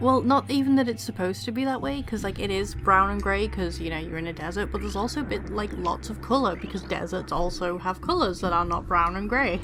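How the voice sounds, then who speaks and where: A woman with an English accent speaks at a very fast pace, with music in the background and audible room echo. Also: hardly any pauses. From England. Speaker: gaming let's play co-commentator. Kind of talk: casual chat.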